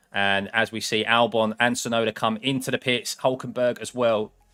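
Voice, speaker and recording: A man with an English accent at a moderate pace, music playing in the background. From England. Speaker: sim racing streamer. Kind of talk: live watchalong commentary. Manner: casual, conversational.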